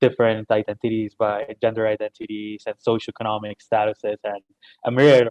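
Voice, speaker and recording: Fairly quick speech with a Spanish accent, a dry sound with no echo, and a quiet background. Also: man. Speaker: webinar host. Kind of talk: webinar moderation. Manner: halting. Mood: friendly, appreciative. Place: home room.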